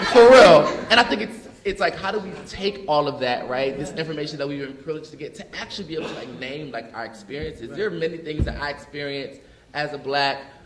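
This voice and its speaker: Speaking at a very fast pace, a man uses a fairly high pitch and lively intonation, with big swings in loudness. Noticeable background noise and audible room echo fill the recording. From US Northeast, North Philadelphia. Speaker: panelist, educator. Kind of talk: panel discussion. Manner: animated, casual.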